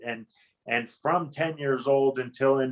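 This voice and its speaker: Here is a man with a medium-pitched voice. He speaks in a western Pennsylvania accent. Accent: western Pennsylvania American. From western Pennsylvania, Johnstown. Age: 50s. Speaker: navy veteran, advocacy group president. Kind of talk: interview.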